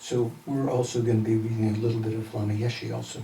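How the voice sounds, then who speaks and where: Audible room echo surrounds a man with a Midwestern accent speaking at medium pitch and a fairly quick pace. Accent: Midwest US. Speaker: Buddhist teacher. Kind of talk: lecture.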